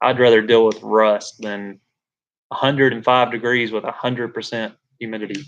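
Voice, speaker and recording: Delivered at a moderate pace with a Southern accent, the speech has monotone, flat intonation. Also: man, medium pitch for a man. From Alabama, Birmingham. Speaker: livestreamer, tradesman. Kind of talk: casual live stream chat. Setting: live stream on camera.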